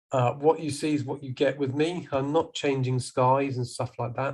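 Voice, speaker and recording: Against a quiet background, a man with a southern English accent and a medium pitch speaks at a moderate pace in a somewhat breathy voice. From southern England (Salisbury, Wiltshire). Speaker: professional photographer. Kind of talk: presentation to a camera club. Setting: video call.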